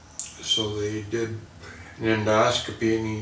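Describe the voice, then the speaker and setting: A man with a fairly low voice. The room echoes audibly and there is noticeable background noise. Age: 60s. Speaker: cancer patient. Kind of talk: testimony. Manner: halting, many fillers.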